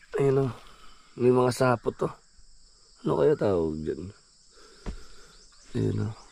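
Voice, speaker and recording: With a dark, mellow tone, a man speaks at a fairly slow pace, with very wide pitch swings and long, frequent pauses. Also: medium pitch for a man. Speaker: vanlife vlogger. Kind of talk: casual vlog talk to camera.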